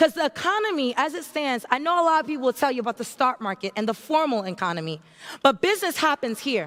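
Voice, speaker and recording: An American accent at a fairly quick pace, with very wide pitch swings. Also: woman. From Haiti and New York. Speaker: entrepreneur and keynote speaker. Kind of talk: motivational keynote speech. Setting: stage with audience. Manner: animated.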